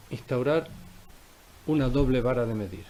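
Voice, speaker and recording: At a moderate pace, a man with a medium pitch speaks against audible room echo. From Canary Islands, Tenerife (La Laguna). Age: 60s. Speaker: politician. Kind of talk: press conference statement. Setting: press conference room. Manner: formal.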